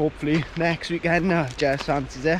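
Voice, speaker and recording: A man's voice comes through dry with no echo, though noticeable background noise is present. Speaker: vlogger. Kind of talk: casual vlog chat. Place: beach. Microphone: phone near.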